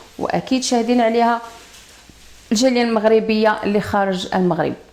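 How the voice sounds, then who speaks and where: Noticeable background noise sits behind a woman with fairly high pitch. She speaks at a moderate pace in an animated tone. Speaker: online news commentator. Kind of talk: polemical video commentary.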